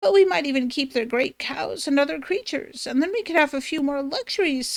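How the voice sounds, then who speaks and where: Doing a put-on character voice, a woman speaks at a fairly quick pace with a high pitch. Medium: read story. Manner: haughty, scornful.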